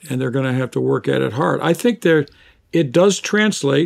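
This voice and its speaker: This man has a fairly high pitch and a normal speaking voice. He talks at a moderate pace. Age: 60s. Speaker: seminary professor and author. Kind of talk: interview.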